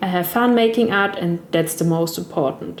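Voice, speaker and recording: A woman with a German accent, medium pitch and ordinary pitch variation, against noticeable background noise. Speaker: gaming content creator. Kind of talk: tutorial voice-over. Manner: non-fluent, careful second-language speech.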